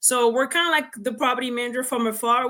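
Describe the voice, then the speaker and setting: A woman with a French accent. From France. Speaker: real estate investor. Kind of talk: interview.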